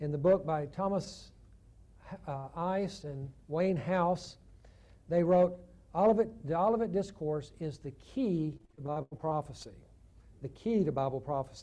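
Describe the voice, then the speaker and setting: Speaking at a fairly slow pace with long, frequent pauses, a man with a Southern US accent has a fairly high pitch, a dark, mellow tone and ordinary pitch variation. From US South, Chattanooga, Tennessee. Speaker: theologian and guest lecturer. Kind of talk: lecture. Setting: church conference with audience.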